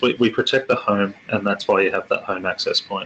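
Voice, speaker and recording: A man with an Australian accent amid noticeable background noise. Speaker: tech company executive presenter. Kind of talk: webinar presentation. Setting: online webinar. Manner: halting, many fillers and repetitions.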